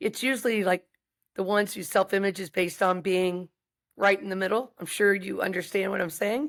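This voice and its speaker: A woman with an American accent speaks in a plain, everyday voice at a medium pitch and fairly quick pace, with ordinary pitch variation, on a very clean recording with a silent background. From US South. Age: 60s. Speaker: wrestling and fighting coach. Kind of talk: podcast interview.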